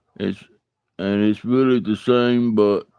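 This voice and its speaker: A man speaks with an Alabama accent. His tone is dark and mellow. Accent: US Southern (Alabama). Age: 40s. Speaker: live streamer, bible study host. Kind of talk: casual live stream chat. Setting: live stream. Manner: halting, repetitive.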